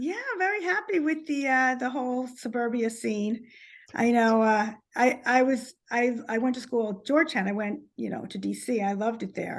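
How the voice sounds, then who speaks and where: A woman with a New Jersey accent speaks at a high pitch and a moderate pace. Her pitch variation is ordinary, and the background is quiet. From New Jersey, Short Hills. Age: 50s. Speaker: author. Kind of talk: casual interview chat.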